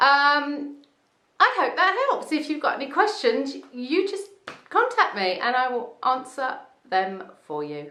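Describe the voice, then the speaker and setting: In a raised, projected voice with a high pitch and very wide pitch swings, a woman speaks at a fairly slow pace amid audible room echo. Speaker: wig salon owner reviewing wigs. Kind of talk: product review video. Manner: casual, with many fillers.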